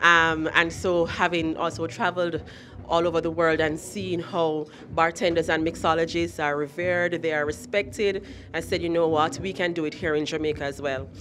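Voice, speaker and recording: With light background noise behind her, a woman speaks at a moderate pace in a fairly low pitch with fairly even intonation. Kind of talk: interview answer. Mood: proud, earnest. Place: hall. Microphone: handheld.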